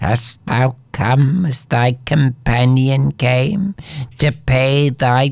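Here is an unforced reading voice with fairly even intonation.

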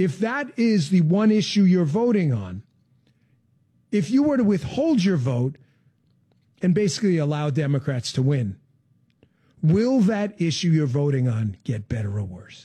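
Dark, mellow tone with a slightly husky edge, big pitch swings, a fairly slow pace and long, frequent pauses. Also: man, fairly high pitch for a man.

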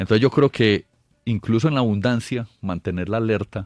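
A man speaks at a fairly low pitch with a slightly mellow tone. His pace is moderate and his pitch variation ordinary.

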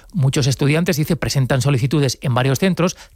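A man speaks at a medium pitch and a fairly quick pace. His pitch shows ordinary variation. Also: slightly mellow tone.

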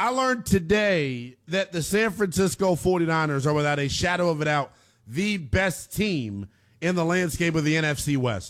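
A man talks at a moderate pace with few pauses. His intonation is lively. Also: fairly high pitch for a man.

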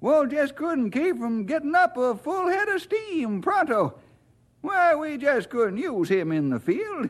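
Using a put-on character voice, a man speaks at a fairly slow pace, extremely high-pitched, with big pitch swings.

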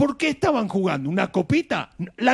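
A man talks at a moderate pace with vocal fry and a slightly husky edge. His pitch swings widely.

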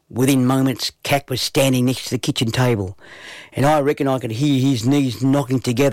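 Reading in a natural voice

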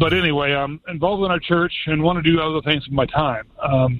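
At a fairly quick pace, a man speaks with a fairly high pitch and fairly even intonation.

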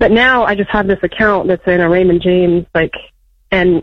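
A woman talks at a fairly low pitch, her intonation fairly even.

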